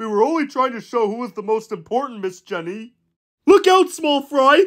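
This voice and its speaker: A fairly high-pitched, put-on character voice moves at a moderate pace. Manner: brash, bossy.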